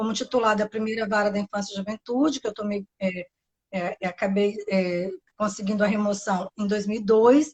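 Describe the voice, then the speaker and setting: A woman speaks with a Bahian accent at a medium pitch and a moderate pace. Her voice is somewhat breathy, and her intonation stays fairly even. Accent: Bahian accent, noticeable. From Brazil, Bahia. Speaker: public defender. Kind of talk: interview. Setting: live stream.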